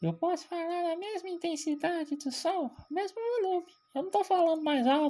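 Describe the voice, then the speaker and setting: A put-on character voice, squeaky and extremely high in pitch, moves at a moderate pace. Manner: demonstrating pitch versus volume.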